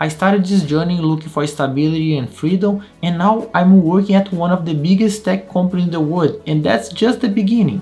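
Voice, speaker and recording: Over music in the background, a man talks at a fairly quick pace in a high-pitched voice. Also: ordinary pitch variation, hardly any pauses. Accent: Brazilian Portuguese. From Brazil. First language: Portuguese. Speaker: QA test engineer and YouTuber. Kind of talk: casual vlog storytelling.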